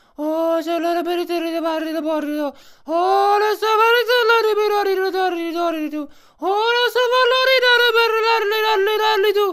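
A put-on character voice at an extremely high pitch, fairly quick in pace yet full of long, frequent pauses. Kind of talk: nonsense gibberish comedy voice.

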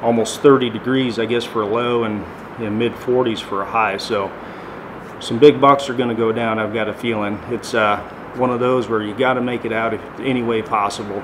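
Noticeable background noise runs under a man speaking at a moderate pace. His intonation is monotone and flat. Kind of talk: interview-style update to viewers. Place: home room.

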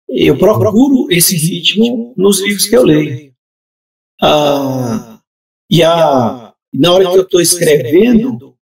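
Very slow pace and very wide pitch swings, with very even loudness over a quiet background. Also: man, high pitch for a man. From southern Pará, Brazil. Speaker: writer; guest. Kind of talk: casual chat. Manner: halting, many repetitions. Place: home room.

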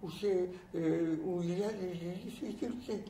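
A woman's voice with light background noise and audible room echo. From France. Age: 80s+. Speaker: former resistance fighter. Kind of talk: recorded message; recorded address, speaking freely. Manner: halting. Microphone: lapel.

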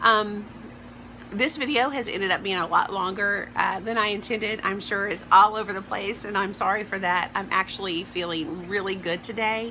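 At a moderate pace, a woman speaks in a Southern US accent with fairly even intonation over light background noise. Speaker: vlogger. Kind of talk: personal vlog. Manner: hesitant, many fillers. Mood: upbeat, open, personal. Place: home room. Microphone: phone near.

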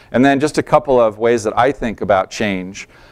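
A man's fairly low-pitched voice against a quiet background. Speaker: presenter. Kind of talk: presentation talk. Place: hall. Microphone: lapel.

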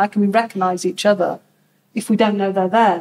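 A woman with a normal speaking voice, medium pitch, fairly even intonation and a fairly quick pace. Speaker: community sector worker facilitating the session. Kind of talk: group discussion facilitation. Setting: in-person community event with audience. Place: hall. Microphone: camera far.

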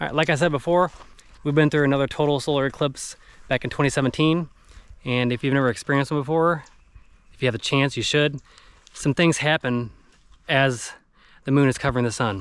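A man at a fairly quick pace with fairly even intonation, in a dry sound with no echo. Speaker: family travel vlogger. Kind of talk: casual vlog chat. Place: open country. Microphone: phone near.

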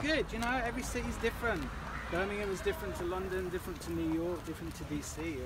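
A man talks very fast while loud background noise plays. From Birmingham, England. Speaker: museum curator. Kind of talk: interview answer on a walk. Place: street. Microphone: phone near.

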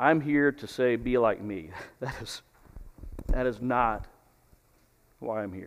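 A man with an American accent at a very slow pace, long, frequent pauses, big swings in loudness and ordinary pitch variation. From Texas. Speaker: preacher. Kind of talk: sermon. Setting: church. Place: church. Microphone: headset.

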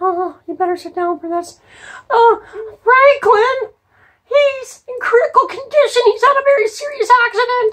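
An extremely high, cartoonish character voice moves along at a moderate pace. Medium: puppet show. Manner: urgent, flustered.

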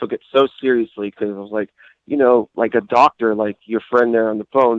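An unremarkable speaking voice with fairly even intonation and an American accent. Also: man. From US Midwest. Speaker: caller. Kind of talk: call-in question.

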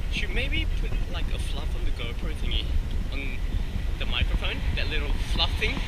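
A man speaks over loud background noise. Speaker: vlogger. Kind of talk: casual vlog chat. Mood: playful, self-mocking. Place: street. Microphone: phone near.

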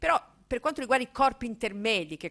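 With a bright, sharp tone, a woman speaks using lively intonation. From Emilia-Romagna, Italy. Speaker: political theory professor. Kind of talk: public lecture. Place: hall. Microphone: podium.

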